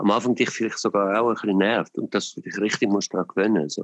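A man with a normal speaking voice talks at a fairly low pitch with fairly even intonation, recorded dry and close with no echo. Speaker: podcast host. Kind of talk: casual chat. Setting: phone call.

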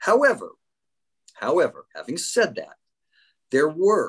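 An American accent in a dry, close sound with no echo. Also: man. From US West Coast, Los Angeles San Fernando Valley. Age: 60s. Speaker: sports podcast co-host, lawyer. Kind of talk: casual podcast introduction.

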